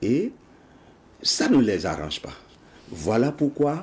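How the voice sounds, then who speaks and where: A man speaks in a somewhat breathy voice. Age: 60s. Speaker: project founder, patriotic education advocate. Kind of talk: TV interview.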